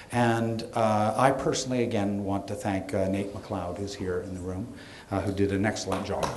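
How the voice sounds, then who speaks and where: Noticeable background noise surrounds the speaker. He is a man with a fairly low pitch and fairly even intonation. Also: moderate pace. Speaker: gallery host introducing speakers. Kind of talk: event introduction. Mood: light, joking. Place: hall. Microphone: podium.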